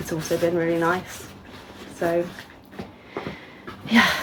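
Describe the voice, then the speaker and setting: Against noticeable background noise, a woman with an English accent and a fairly low pitch speaks at a moderate pace. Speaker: knitting vlogger. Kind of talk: casual vlog. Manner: low energy.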